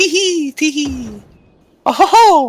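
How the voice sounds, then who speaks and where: The speaker puts on a playful, high-pitched character voice. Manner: giggling, playful.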